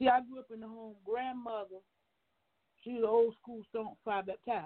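A woman speaks in a fairly high, animated tone. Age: young. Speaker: minister. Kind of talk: radio interview.

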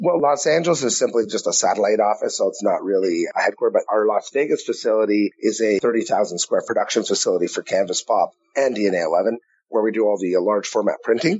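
A man speaks with a Canadian accent at a fairly quick pace. His loudness stays very even. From Canada, Ottawa. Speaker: entrepreneur. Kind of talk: interview.

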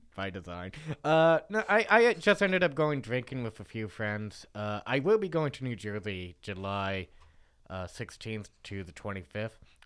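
A man talks at a fairly slow pace with a fairly low pitch in an unremarkable speaking voice. The recording is very clean, with a silent background. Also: lively intonation. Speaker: stand-up comedian.

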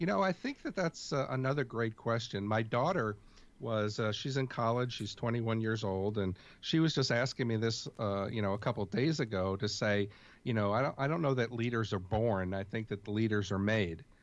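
A man speaks with an American accent in an ordinary speaking voice, at a medium pitch and moderate pace with ordinary pitch variation, against a quiet background. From US, New York City. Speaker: leadership expert. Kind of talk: interview.

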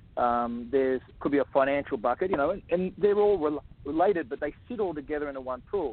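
A man with an Australian accent talks at a fairly quick pace and a fairly high pitch, with ordinary pitch variation. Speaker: author and abuse survivor advocate. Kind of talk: interview.

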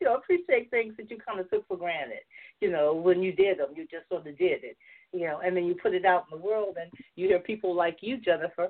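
A woman with a Southern US accent speaks at a medium pitch and moderate pace, with lively intonation. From US South, Georgia. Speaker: novelist and filmmaker. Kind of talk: casual chat, interview. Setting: video call, online.

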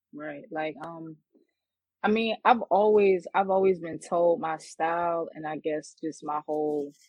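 A woman speaks in a New York accent. Her pitch is fairly low, with ordinary variation. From Queens, New York. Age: 20s. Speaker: battle rapper. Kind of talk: interview. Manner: hesitant, many fillers.

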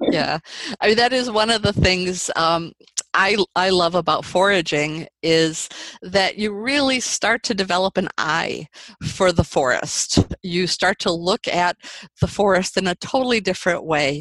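A medium-pitched woman speaks at a fairly slow pace with very even loudness. The sound is dry and close, with no echo. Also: ordinary pitch variation. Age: 60s. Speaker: mushroom farmer. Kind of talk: interview. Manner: halting, many fillers.

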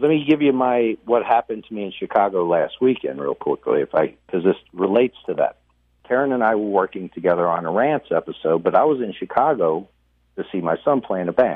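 Lively intonation and a fairly quick pace mark a man's talk in an ordinary speaking voice. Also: medium pitch for a man. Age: 50s. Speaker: podcaster. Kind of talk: interview.

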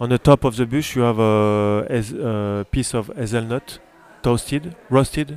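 A man with a French accent talks at a fairly slow pace, his medium pitch showing ordinary pitch variation. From France. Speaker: pastry chef. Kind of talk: interview. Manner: halting.

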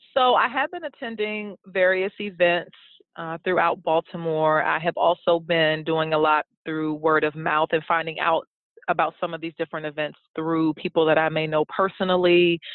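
A woman speaks with an American accent in a plain, everyday voice. Her pitch is fairly low, her intonation fairly even, and her pace moderate. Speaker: blogger and educator. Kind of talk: interview.

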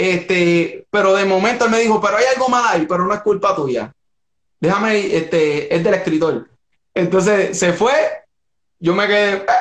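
Here a man speaks at a moderate pace in a high voice with ordinary pitch variation. His loudness stays very even. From Puerto Rico (Caguas). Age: 30s. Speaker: actor and musician. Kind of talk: interview. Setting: Instagram Live stream.

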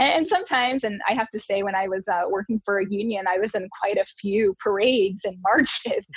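With an American accent, a woman talks fairly quickly at a medium pitch and ordinary pitch variation over noticeable background noise. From Detroit area, Michigan. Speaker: communications director and former beauty queen. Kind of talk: casual interview.

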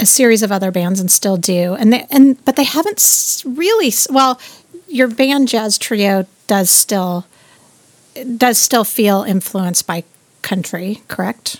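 A woman's normal speaking voice with an American accent, medium pitch, ordinary pitch variation and a fairly slow pace, in a dry, close sound with no echo. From Southern California. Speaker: podcast host. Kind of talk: casual interview.

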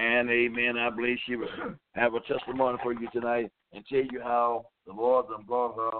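A man's medium-pitched voice at a moderate pace. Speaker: bishop leading a radio prayer line. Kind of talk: call-in prayer and preaching. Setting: radio studio taking phone calls. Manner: animated.

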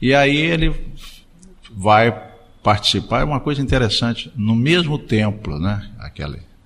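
This man's tone is bright and sharp. His pace is moderate. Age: 60s. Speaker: radio host. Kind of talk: casual chat.

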